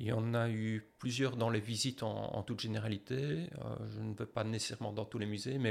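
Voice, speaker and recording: A man's plain, everyday voice, fairly low in pitch, with fairly even intonation and a fairly quick pace. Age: 50s. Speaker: professor. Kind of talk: interview.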